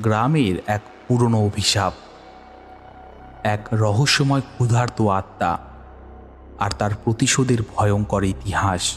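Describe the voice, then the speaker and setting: A man's fairly low voice with ordinary pitch variation and very even loudness, music in the background. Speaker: audio story narrator. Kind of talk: horror audio story narration.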